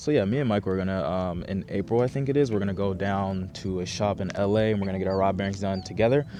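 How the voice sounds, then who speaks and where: A man's fairly low voice with ordinary pitch variation, at a very fast pace with hardly any pauses. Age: 20s. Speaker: car vlogger. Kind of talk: casual vlog talk to camera. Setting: outdoors.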